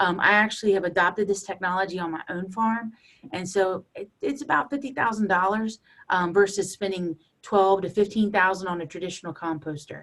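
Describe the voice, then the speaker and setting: At a fairly quick pace, a woman speaks with a medium pitch and ordinary pitch variation. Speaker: poultry farmer and university extension specialist. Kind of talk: presentation. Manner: fast.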